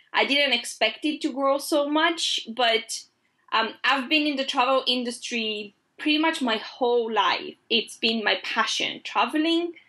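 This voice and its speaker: Raised and projected, a woman's high-pitched voice has a bright, sharp tone, very even loudness and a fairly slow pace. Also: ordinary pitch variation. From Greece. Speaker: travel blogger and entrepreneur. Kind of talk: interview. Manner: hesitant, many filler ums.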